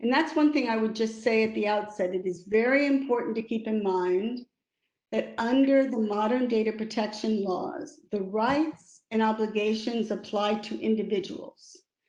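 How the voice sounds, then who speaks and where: Speaking in an American accent, a woman has an unremarkable speaking voice with fairly high pitch. She keeps a moderate pace and ordinary pitch variation. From United States. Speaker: lawyer and arbitrator. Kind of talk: webinar talk.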